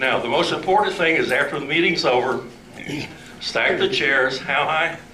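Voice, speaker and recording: A man's fairly high voice, with ordinary pitch variation and a moderate pace, is heard through noticeable background noise and audible room echo. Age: old. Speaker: club president. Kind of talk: club meeting announcements. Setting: meeting hall with audience.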